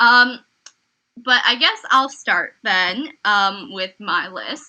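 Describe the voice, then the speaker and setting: The tone is bright and sharp. The pace is very slow. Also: woman. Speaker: podcast co-host. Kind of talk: casual chat. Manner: loud.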